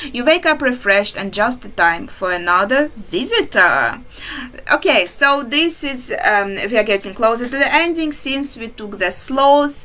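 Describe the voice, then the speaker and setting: A woman with a non-native accent speaks at a moderate pace in a high pitch. Her pitch swings very widely over noticeable background noise. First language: not English. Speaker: indie game developer. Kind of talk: game walkthrough commentary. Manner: halting.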